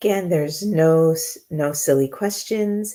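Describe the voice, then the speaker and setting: The speaker has a slight Jamaican accent and lively intonation. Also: woman. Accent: slight Jamaican accent from family. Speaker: intuitive coach. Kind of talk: live Q&A stream. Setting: live online stream. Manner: fills pauses, many filler words.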